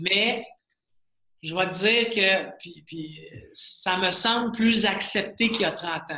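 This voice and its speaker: A man's raised, projected voice sits at a high pitch with ordinary pitch variation. He talks at a very slow pace, with long, frequent pauses. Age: 40s. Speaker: serial entrepreneur. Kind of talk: interview. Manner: animated.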